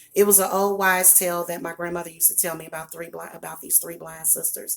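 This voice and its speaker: A woman with a Southern US accent speaks at a very fast pace and fairly low pitch. Her intonation is monotone and flat, with big swings in loudness. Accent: Southern accent, deepened. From US Midwest. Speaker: psychic and small business owner. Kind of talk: casual livestream chat. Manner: casual, chatty.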